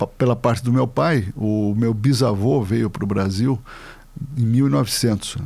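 A man speaking very slowly at a medium pitch, with very even loudness, ordinary pitch variation and noticeable background noise. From Brazil, São Paulo. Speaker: lawyer. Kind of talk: interview, life story.

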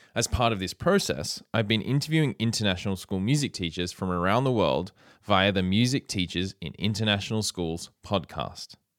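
On a very clean recording with a silent background and a dry, close sound with no echo, a man speaks with an Australian accent. His pitch is fairly low, his pace fairly quick and his intonation lively. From Australia, Sydney. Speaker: music teacher and podcast host. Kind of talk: keynote speech. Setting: conference stage.

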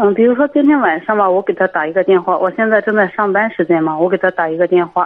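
A woman with a normal speaking voice and medium pitch talks at a fairly quick pace. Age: 20s. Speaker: radio call-in caller, print shop worker. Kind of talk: call-in advice conversation.

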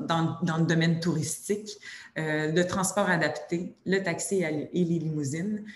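A woman with a Quebec accent, fairly low pitch and fairly even intonation at a fairly slow pace, with audible room echo and noticeable background noise. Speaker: sector workforce committee director. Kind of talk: webinar presentation. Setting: video webinar.

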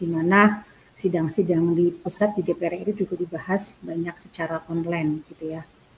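A woman with a fairly low pitch speaks at a moderate pace with hardly any pauses, monotone and flat in intonation yet with big swings in loudness, over noticeable background noise. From Central Java (Tegal). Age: 50s. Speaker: local legislator. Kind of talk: expert interview on a talk show.

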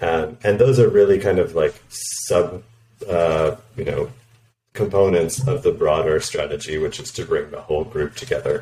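A man talks at a moderate pace. He has a Canadian accent. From Canada. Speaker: product director. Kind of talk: interview.

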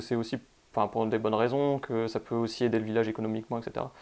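A man talks at a fairly quick pace with medium pitch. His intonation is fairly even. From northern France. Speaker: podcast host. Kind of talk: casual chat.

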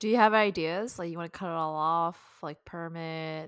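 A woman with a fairly low pitch and an ordinary speaking voice talks at a moderate pace on a very clean recording with a silent background. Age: 20s. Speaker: podcast co-host. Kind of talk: casual chat.

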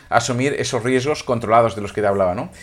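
This very clean recording with a silent background has a man speaking with ordinary pitch variation. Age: 50s. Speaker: business coach. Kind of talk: solo podcast monologue. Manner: halting with frequent repetitions.

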